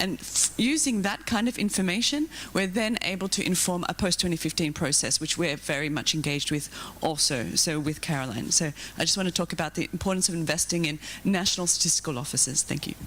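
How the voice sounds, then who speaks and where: A woman with an Australian accent talks very fast at a fairly low pitch. Her intonation is lively and her loudness very even. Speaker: policy researcher. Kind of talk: conference panel comment.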